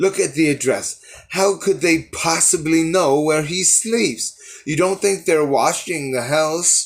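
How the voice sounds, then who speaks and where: A man's put-on character voice, fairly high-pitched and shaky, at a fairly slow pace with ordinary pitch variation. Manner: frightened, anxious.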